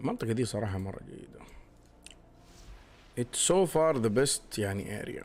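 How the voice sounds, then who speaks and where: Using an Arabic accent, a man talks at a medium pitch with ordinary pitch variation. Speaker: gaming streamer. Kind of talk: casual gameplay commentary. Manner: code-switching Arabic and English.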